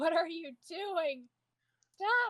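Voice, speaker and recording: In a put-on character voice, a woman squeaks at an extremely high pitch with lively intonation. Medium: audio drama.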